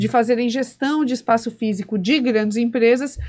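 Here a woman with a Brazilian accent speaks at a fairly high pitch and a moderate pace. The background is quiet. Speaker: podcast host. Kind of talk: interview conversation. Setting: studio. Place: studio. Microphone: studio mic.

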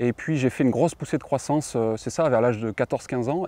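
A man talks very fast in a dark, mellow voice of medium pitch with ordinary pitch variation. The sound is dry with no echo. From southwest France. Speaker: rowing athlete and engineer. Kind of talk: interview monologue. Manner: hesitant, many fillers. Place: garden. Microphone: lapel.

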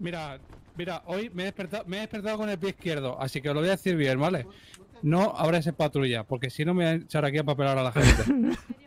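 Putting on a gruff character voice, a man talks at a very fast pace with a fairly high pitch and lively intonation. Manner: gruff, warning, half joking.

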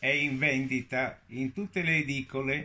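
Speaking very slowly, a man uses a medium pitch and a bright, sharp tone. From Genoa, Italy; Italy. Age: 90s. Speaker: actor. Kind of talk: charity appeal to camera. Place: home room. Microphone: phone near.

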